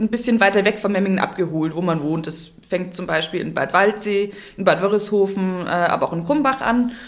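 Noticeable background noise sits behind a woman's voice. Her pitch varies in an ordinary way, and her pace is moderate. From Kempten, Allgäu, Bavaria. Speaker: theatre box office manager. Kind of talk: interview.

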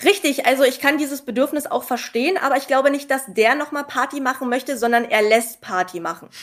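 A woman's high voice at a fairly quick pace, with hardly any pauses, ordinary pitch variation, and noticeable background noise. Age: young. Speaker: pharmacy technician. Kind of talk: casual interview with anecdotes.

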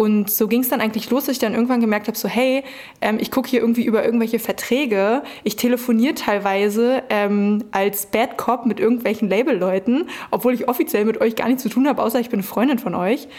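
At a very fast pace, the speaker keeps very even loudness and fairly even intonation over noticeable background noise. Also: woman, fairly high pitch for a woman. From Brandenburg, Germany. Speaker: hip-hop agency founder. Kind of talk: interview.

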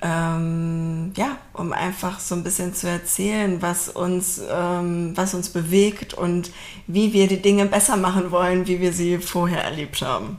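With flat, monotone intonation, a woman is heard over noticeable background noise and audible room echo. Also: fairly low pitch for a woman, fairly slow pace. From Berlin, Germany. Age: 30s. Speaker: podcast co-host, team leader. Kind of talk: casual chat.

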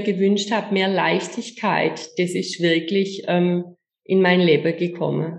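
Medium pitch marks a woman's voice. She proceeds at a fairly slow pace. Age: 50s. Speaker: image coach. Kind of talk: interview. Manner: halting.

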